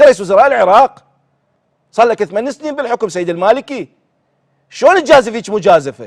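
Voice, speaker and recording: Using an Iraqi accent, the speaker goes at a fairly quick pace with an animated tone, very wide pitch swings, big swings in loudness and long, frequent pauses, in a dry, close sound with no echo. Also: man, high pitch for a man. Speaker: TV show host. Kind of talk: political commentary; reading aloud. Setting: TV studio.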